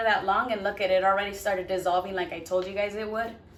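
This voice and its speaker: Over noticeable background noise and audible room echo, a woman talks very fast at a medium pitch. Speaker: cooking vlogger. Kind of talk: cooking tutorial. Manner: stumbling over words; casual, chatty.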